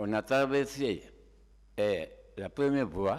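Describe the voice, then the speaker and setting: A man speaks with ordinary pitch variation, captured in a very clean recording with a silent background. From Guinea (Tougué, Fouta Djallon). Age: 70s. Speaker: shooting victim, driver. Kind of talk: court testimony. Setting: courtroom.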